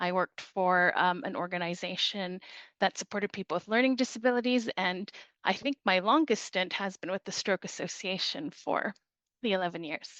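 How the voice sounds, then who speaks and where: A woman with a Canadian accent has a plain, everyday voice at medium pitch, with ordinary pitch variation. She talks at a moderate pace against a quiet background. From Canada. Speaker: charity director. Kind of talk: podcast interview.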